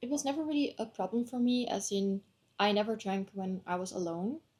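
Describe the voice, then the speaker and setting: Somewhat breathy, a woman at a medium pitch speaks at a fairly quick pace with lively intonation. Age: 20s. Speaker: vlogger. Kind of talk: casual chat. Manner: casual, hesitant with many fillers.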